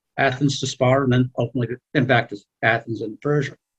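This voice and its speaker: A man talks very fast with fairly even intonation in a somewhat breathy voice, recorded dry and close with no echo. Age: 70s. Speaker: seminar participant. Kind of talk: class discussion. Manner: halting.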